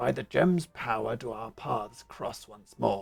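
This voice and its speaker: A man puts on a raspy character voice at a medium pitch. He speaks at a fairly slow pace. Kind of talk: archaic, prophetic fantasy speech.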